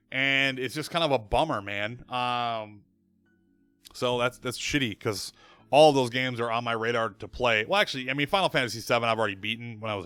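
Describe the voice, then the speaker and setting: The pitch of a man's voice varies in an ordinary way. Background music accompanies him. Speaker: streamer and web show host. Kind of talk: casual live-stream monologue. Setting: live stream. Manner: fast.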